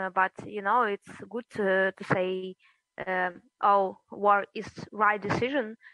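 The speaker has a Russian accent and a bright, sharp tone, moving at a very slow pace with long, frequent pauses. Intonation stays monotone and flat, and the sound is dry and close with no echo. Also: woman, medium pitch for a woman. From Russia, then eastern Ukraine (Donetsk). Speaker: journalist and media founder. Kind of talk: interview. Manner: halting.

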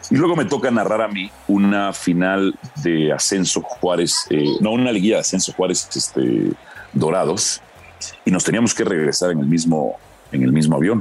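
With a very deep, low pitch, a man speaks at a moderate pace with lively intonation. His loudness stays very even, while background noise is noticeable. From Mexico. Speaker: football commentator and journalist. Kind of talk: casual chat.

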